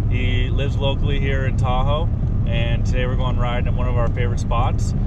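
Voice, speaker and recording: A man speaks at a moderate pace. The sound is dry with no echo, but loud background noise is present. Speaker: snowmobiling vlogger. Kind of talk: casual vlog chat. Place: car. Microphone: phone near.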